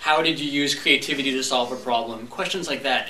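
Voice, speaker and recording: A man talks fairly quickly, his voice carrying audible room echo and noticeable background noise. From Montreal, Canada. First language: French. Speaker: public speaking club member. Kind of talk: prepared speech. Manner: animated.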